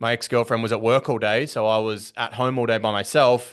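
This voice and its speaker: A man with an Australian accent at a fairly quick pace, quiet background. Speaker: business coach. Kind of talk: podcast interview. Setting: podcast call. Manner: conversational, with frequent fillers and repetitions.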